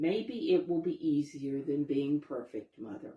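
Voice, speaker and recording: The speaker uses a put-on character voice, pitched low-to-middle and delivered at a fairly slow pace. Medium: read story. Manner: mild, gentle.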